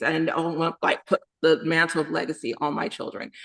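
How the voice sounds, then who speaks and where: With an American accent, a woman speaks at a moderate pace in an unremarkable speaking voice. Her pitch is fairly low. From Texas, San Antonio. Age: 40s. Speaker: indie romance author. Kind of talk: podcast interview.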